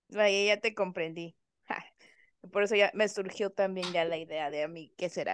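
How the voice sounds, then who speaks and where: Recorded with a dry, close sound, no echo and a quiet background, a woman speaks fairly slowly at a medium pitch. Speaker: podcast co-host. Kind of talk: casual chat.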